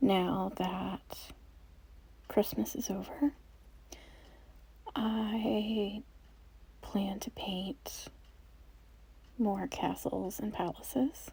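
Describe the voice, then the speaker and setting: A soft-spoken woman talks in a calm tone at a very slow pace, with long, frequent pauses. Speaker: watercolor artist / painter. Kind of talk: ASMR soft-spoken voiceover. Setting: voiceover recorded over painting video. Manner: soft-spoken, calm, slow.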